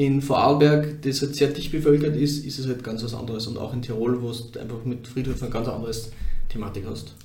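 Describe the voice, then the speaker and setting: A man at a medium pitch with fairly even intonation and a fairly quick pace, plus audible room echo and noticeable background noise. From Upper Austria, near Steyr. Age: 30s. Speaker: crematorium founder and funeral director. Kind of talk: interview.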